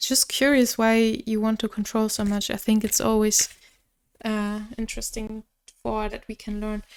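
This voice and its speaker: This woman has a non-native accent. Her pitch is fairly high. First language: not English. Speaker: tarot reader. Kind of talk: tarot reading. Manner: halting.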